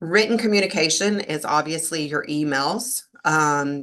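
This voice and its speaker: Using lively intonation, a woman speaks at a fairly slow pace. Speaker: leadership coach. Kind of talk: live webinar talk. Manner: animated.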